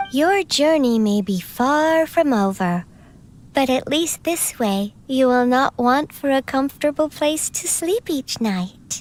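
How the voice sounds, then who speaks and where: A female-sounding voice uses a put-on character voice at a high pitch. The pace is fairly slow. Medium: video game. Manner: formal, courteous.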